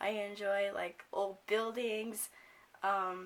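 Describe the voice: A woman speaks at a very slow pace. Her tone is fairly bright.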